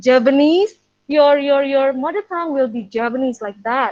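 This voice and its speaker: A woman with an Indonesian accent speaks in a high pitch. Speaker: preschool English teacher. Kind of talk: webinar talk. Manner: halting.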